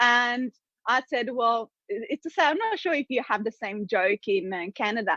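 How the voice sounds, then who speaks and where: A high-pitched woman with an Italian accent, lively intonation and a fairly slow pace. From Italy, small city. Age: 30s. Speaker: business coach. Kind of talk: podcast interview.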